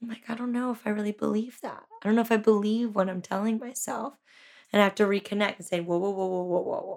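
A woman with an American accent, fairly high-pitched, talking very fast with fairly even intonation. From California, Santa Cruz. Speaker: yoga and fitness instructor. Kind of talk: interview.

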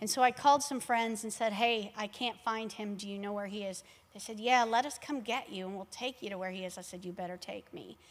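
A woman with an American accent and a normal speaking voice talks at a fairly quick pace. Her pitch is fairly high, with ordinary pitch variation. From Texas, Laredo. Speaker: church mission minister. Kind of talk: sermon; testimony.

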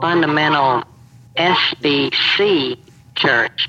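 A man speaks at a very slow pace with a fairly high pitch. Noticeable background noise runs beneath him. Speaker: anonymous social media account owner. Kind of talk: interview.

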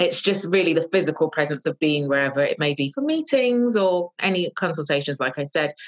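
With a London accent, a woman speaks in a fairly low voice with lively intonation. Her pace is fairly quick, with hardly any pauses. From London, England. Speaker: fashion stylist and journalist. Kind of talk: casual interview. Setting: remote call.

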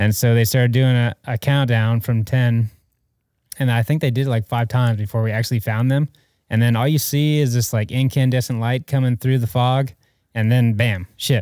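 With an American accent, a man speaks at a moderate pace and medium pitch, his tone dark and mellow and his intonation fairly even. The recording is very clean with a silent background and a dry, close sound with no echo. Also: very even loudness. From Atlanta, US South. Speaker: helicopter flight mechanic. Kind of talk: casual chat. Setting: studio.

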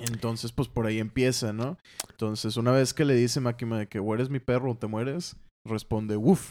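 Speaking at a fairly quick pace, a man has a dark, mellow tone and fairly even intonation. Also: medium pitch for a man. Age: 20s. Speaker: comic colorist and co-host. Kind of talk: casual chat.

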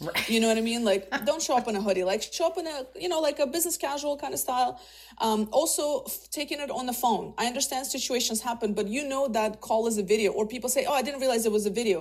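A woman with a Russian accent speaks at a very fast pace with hardly any pauses. Her voice is high-pitched and her intonation is lively. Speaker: career coach and talent executive. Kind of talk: interview conversation.

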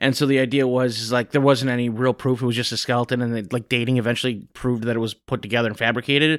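Very fast, medium-pitched speech from a man with an American accent, fairly even intonation and hardly any pauses, in a very clean recording with a silent background. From US Midwest, northern Illinois. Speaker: podcast co-host. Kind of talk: casual chat.

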